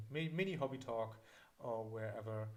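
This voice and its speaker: With a German accent, a man speaks at a medium pitch with ordinary pitch variation. His voice is somewhat breathy, and there is audible room echo. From Germany (south of Berlin). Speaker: miniature painting teacher. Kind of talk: live-streamed hobby class Q&A. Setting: live stream. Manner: halting, many fillers.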